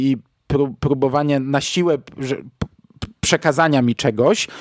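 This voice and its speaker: The sound is dry and close, with no echo. A man with a plain, everyday voice speaks at a fairly high pitch with ordinary pitch variation. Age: 40s. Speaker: podcast host, film reviewer. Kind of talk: solo film review podcast.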